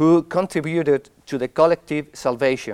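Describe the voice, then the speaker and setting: Recorded dry and close with no echo, a man with a Spanish accent speaks at a fairly slow pace with ordinary pitch variation. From Spain. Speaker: academic speaker. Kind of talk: conference talk. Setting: stage with audience. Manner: halting.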